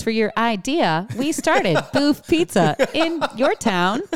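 A robotic, female-sounding put-on character voice, high pitched with very wide pitch swings, at a fairly slow pace. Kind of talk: automated narration. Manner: robotic, text-to-speech flatness with odd inflection.

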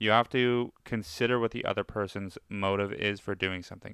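The man's pitch is fairly low. He keeps his intonation fairly even. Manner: monotone.

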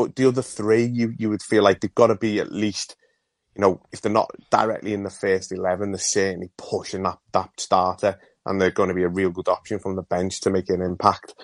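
A man with an unremarkable speaking voice, fairly even intonation and a fairly quick pace, dry and close with no echo, over a quiet background. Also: fairly low pitch for a man. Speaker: caller. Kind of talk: phone-in call.

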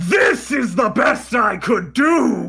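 In a put-on character voice, a man projects at an extremely high pitch over faint background music.

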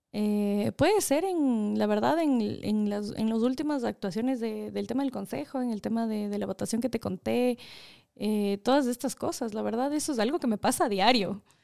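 A woman with a dark, mellow tone and fairly high pitch talks at a moderate pace with ordinary pitch variation. The recording is very clean, with a silent background. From Ecuador. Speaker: public official. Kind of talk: casual interview.

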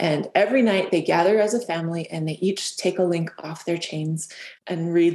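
This is an ordinary speaking voice with an American accent. It moves at a fairly quick pace with fairly even intonation. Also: woman. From Southern Utah. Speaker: children's author and chemistry teacher. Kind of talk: interview.

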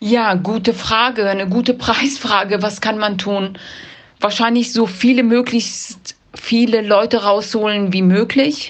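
A woman talks at a very slow pace in a fairly high pitch. Her intonation stays fairly even. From Afghanistan (Kabul), then Germany from age 13. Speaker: freelance journalist. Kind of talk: interview.

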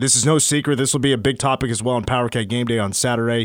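A man with an ordinary speaking voice at a medium pitch, talking at a fairly quick pace, on a very clean recording with a silent background. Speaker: sports radio host. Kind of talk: casual sports talk radio. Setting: studio.

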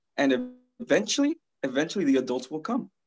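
Lively intonation from a male speaker. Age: 20s. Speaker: social media influencer and coach. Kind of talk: casual chat.

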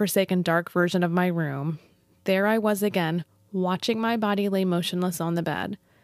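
The clip is plain reading aloud. The intonation stays fairly even.

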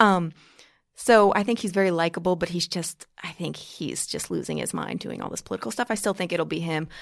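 Using vocal fry, a woman with an American accent speaks fairly quickly at a fairly low pitch with ordinary pitch variation, in a very clean recording with a silent background. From New York, Long Island. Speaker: political commentator. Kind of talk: casual chat. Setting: studio.

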